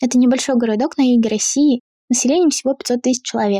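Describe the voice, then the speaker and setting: Speaking at a fairly quick pace, a woman with a high pitch has a dark, mellow tone, captured dry and close with no echo. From Astrakhan, southern Russia. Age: 20s. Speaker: artist. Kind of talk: personal testimony.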